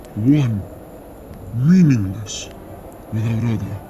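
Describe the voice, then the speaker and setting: A man puts on a booming character voice at a medium pitch, speaking at a very slow pace. Background noise is clearly audible. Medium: read story. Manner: terse, broken phrasing.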